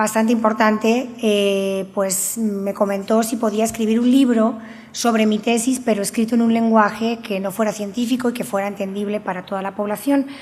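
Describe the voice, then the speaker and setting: With audible room echo, a woman speaks at a moderate pace, her fairly high pitch held in fairly even intonation. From Spain, Valencia region (Alcoy, Alicante). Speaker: researcher and university professor. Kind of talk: conference talk. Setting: conference with audience.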